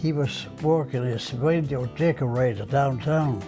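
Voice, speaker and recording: With music in the background, the speaker goes at a fairly slow pace with ordinary pitch variation. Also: man. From Denmark. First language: Danish. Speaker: retired television station artist. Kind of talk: oral history interview answer.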